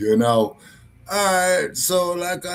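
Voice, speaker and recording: Speaking very slowly, a man uses lively intonation. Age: old. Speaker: talk show host. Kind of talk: casual chat. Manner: slurred.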